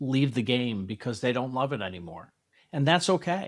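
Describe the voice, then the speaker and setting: Heard in a very clean recording with a silent background, a man talks at a moderate pace and medium pitch in a plain, everyday voice. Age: 60s. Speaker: youth softball coach, podcast host. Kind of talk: solo podcast talk to parents. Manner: conversational, reflective.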